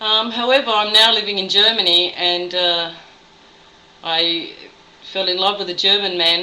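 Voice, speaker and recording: With audible room echo, a woman speaks at a moderate pace and medium pitch, her pitch varying in an ordinary way. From Australia. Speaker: nurse. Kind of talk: video blog monologue.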